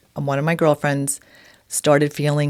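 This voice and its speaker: The speaker is a woman with a New York accent. Her pitch is very deep and low. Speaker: podcast co-host. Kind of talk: casual chat.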